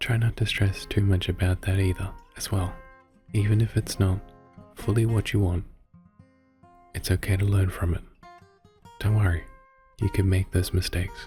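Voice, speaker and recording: Music plays behind a soft-spoken man with a fairly low pitch and a gentle tone. His delivery is a flat monotone at a moderate pace, broken by long, frequent pauses. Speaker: ASMR creator, VTuber, artist. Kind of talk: soft-spoken ASMR motivational talk. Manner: soft-spoken, gentle, reassuring.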